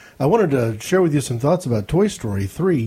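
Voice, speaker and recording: A man with an American accent speaks at a moderate pace with fairly high pitch, a dark, mellow tone, a somewhat breathy quality and lively intonation. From Ohio. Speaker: listener and podcaster. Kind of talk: recorded listener comment.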